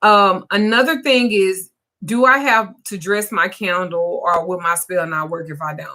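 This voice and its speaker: A woman speaks fairly slowly at a medium pitch, with lively intonation and big swings in loudness. Her tone is bright and sharp. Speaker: spiritual practitioner. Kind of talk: livestream Q&A. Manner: casual.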